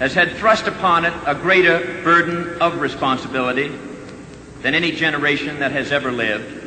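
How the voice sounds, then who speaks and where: Fairly high pitch from a man, a fairly quick pace, ordinary pitch variation, noticeable background noise. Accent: American. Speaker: senator delivering a funeral eulogy for his brother. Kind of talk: solemn eulogy / formal public address.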